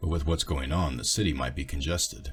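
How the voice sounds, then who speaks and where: Putting on a character voice, a man speaks fairly quickly in a calm tone at a very deep, low pitch with ordinary variation. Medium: read story. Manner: terse, calm.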